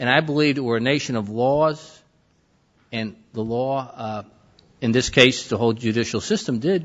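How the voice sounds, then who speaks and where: Moderate tempo and typical pitch movement from a man with a mid-range voice. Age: 60s. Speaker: former FBI agent. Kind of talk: reunion reflection. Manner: halting.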